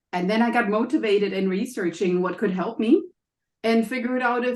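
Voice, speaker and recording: In a German accent, a woman speaks at a moderate pace and medium pitch, with ordinary pitch variation. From Germany. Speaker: health coach and college professor. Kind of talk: interview.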